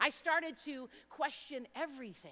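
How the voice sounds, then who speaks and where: A woman with a bright, sharp tone and lively intonation at a fairly slow pace. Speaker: youth speaker. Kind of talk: inspirational talk. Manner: loud.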